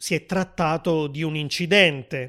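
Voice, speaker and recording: This very clean recording has a silent background. In it, a man talks at a fairly slow pace with ordinary pitch variation. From southern Italy. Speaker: language teacher podcaster. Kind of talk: scripted narration for language learners. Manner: clear, measured.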